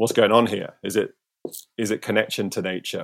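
A man with a Cornish accent in a monotone, flat intonation. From Cornwall, St Ives. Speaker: surfer and filmmaker. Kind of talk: casual chat.

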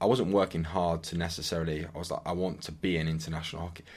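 A man with an English accent speaks at a very deep, low pitch and a fairly quick pace, with fairly even intonation. The recording is very clean, with a silent background. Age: 30s. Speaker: hockey player. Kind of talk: casual chat.

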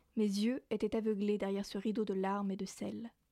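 The delivery is monotone and flat at a moderate pace, with a dark, mellow tone and a dry, close sound with no echo in a very clean recording with a silent background. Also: woman. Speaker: radio host. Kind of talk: literary reading of a novel excerpt, then back to radio talk. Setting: radio studio.

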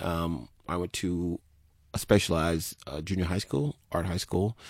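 In a very clean recording with a silent background and a dry, close sound with no echo, a man talks in a very deep, low pitch with fairly even intonation. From Turks and Caicos, then Miami. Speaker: artist. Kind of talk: casual chat.

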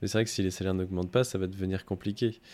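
Recorded very cleanly against a silent background, a man speaks with fairly even intonation. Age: 20s. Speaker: podcast host, UX/UI design apprentice. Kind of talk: interview. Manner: hesitant, many fillers.

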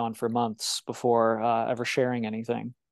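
A man with an American accent and an ordinary speaking voice, medium in pitch and fairly quick, over a quiet background. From Illinois. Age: 20s. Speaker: webcomic creator. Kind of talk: interview. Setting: video call.

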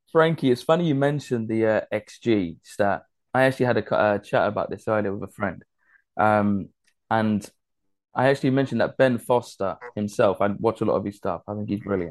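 Speaking with an English accent, a man uses a medium pitch and ordinary pitch variation. His pace is moderate, and the background is quiet. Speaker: football podcast host. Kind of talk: casual chat.

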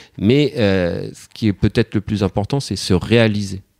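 In a dry, close sound with no echo and a silent background on a very clean recording, a man speaks with a dark, mellow tone and ordinary pitch variation. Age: 50s. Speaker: father of four. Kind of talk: interview testimony. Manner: halting, repeats words.

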